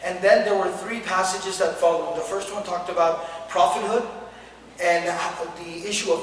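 Amid light background noise and audible room echo, a man talks at a fairly quick pace with a high pitch and fairly even intonation. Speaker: religious teacher. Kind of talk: lecture.

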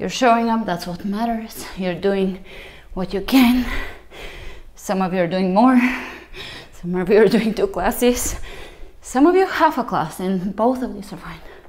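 Long, frequent pauses break up a woman's speech, which otherwise runs at a moderate pace. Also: ordinary pitch variation. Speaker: fitness instructor. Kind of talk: workout class instruction. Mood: encouraging, warm.

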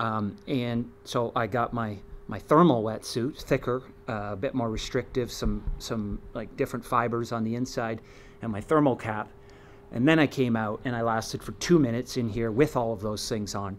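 Light background noise sits behind a man speaking at a moderate pace. His intonation is fairly even. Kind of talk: casual vlog chat. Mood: reflective, calm. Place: waterside. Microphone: camera far.

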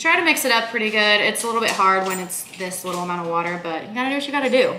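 There is noticeable background noise as a woman talks at a fairly quick pace. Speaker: fitness vlogger. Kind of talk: casual vlog chat. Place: kitchen. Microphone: camera far.

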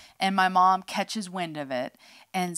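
In an ordinary speaking voice, a woman talks at a moderate pace and medium pitch with an American accent against a quiet background. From US West Coast (northern California). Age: 50s. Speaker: podcast co-host. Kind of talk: testimony. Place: studio. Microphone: studio mic.

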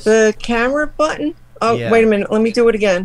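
Speech comes at a very fast pace in a strong New York accent, with very even loudness. Noticeable background noise runs underneath. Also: woman, fairly high pitch for a woman, ordinary pitch variation, dry sound with no echo. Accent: thick New York Italian. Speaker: host's mother on video call. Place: home room. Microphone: video call.

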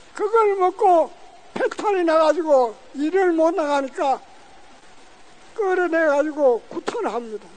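A man with an extremely high pitch speaks very slowly, leaving long, frequent pauses. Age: 80s+. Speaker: forced labour survivor. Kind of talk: testimony speech at a rally. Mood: solemn, grave remembrance. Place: street. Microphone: handheld.

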